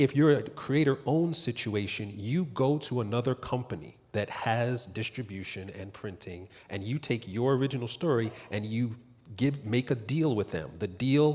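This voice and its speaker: A man speaks in a medium-pitched, somewhat breathy voice. His pitch varies in an ordinary way. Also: moderate pace. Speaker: entertainment lawyer on panel. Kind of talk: panel discussion. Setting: stage with audience.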